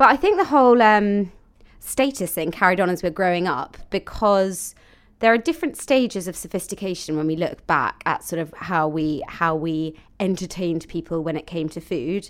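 A woman speaks at a moderate pace with a southern English accent and lively intonation, on a very clean recording with a silent background. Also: medium pitch for a woman. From London. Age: 20s. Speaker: podcast co-host. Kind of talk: casual chat.

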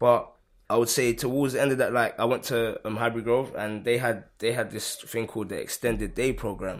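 A man with a London accent, talking at a fairly quick pace. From London, Hackney. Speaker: youth mentor. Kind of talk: casual interview.

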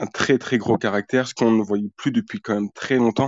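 Here is a man with an unremarkable speaking voice. His pitch is medium and his intonation fairly even. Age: 20s. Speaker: football fan podcast guest. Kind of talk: casual chat.

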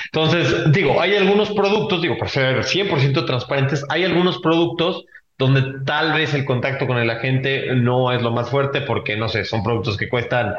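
Audible room echo surrounds a man speaking at a moderate pace. His medium pitch carries lively intonation. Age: 20s. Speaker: podcast host, insurtech association president. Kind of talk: casual chat.

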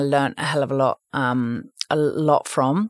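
A woman speaks at a fairly slow pace in a southern English accent. The sound is dry and close, with no echo. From London, England. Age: 40s. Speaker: media investment executive. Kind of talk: interview. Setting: studio.

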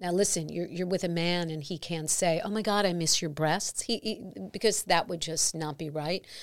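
A woman with an American accent and a fairly low pitch, at a moderate pace with hardly any pauses and fairly even intonation, in a very clean recording with a silent background. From New York. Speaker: podcast host. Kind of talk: interview. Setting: studio.

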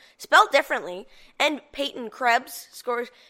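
This woman uses a raised, projected voice and keeps a moderate pace. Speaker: hockey podcast host. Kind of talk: casual sports commentary. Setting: recorded podcast, solo. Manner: animated.

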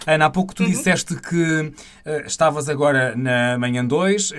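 A man speaks in a plain, everyday voice. His pitch is fairly high, with ordinary pitch variation. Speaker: podcast host. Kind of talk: interview.

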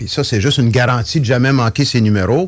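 A man talks at a fairly quick pace with a medium pitch. His voice is somewhat breathy, and his intonation is lively. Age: old. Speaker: retired teacher and performer. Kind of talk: casual radio interview. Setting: radio studio.

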